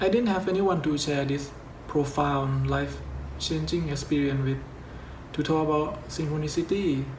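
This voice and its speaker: Over noticeable background noise and audible room echo, a man with a non-native accent talks at a fairly slow pace and a fairly high pitch. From Thailand. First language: Thai. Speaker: YouTuber. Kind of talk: scripted narration.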